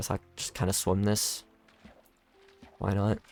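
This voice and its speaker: Very slowly and in a relaxed tone, a man speaks with a dry, close sound and no echo while music plays in the background. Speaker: gaming youtuber. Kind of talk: gameplay commentary. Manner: relaxed, casual; jumbles words, somewhat awkward.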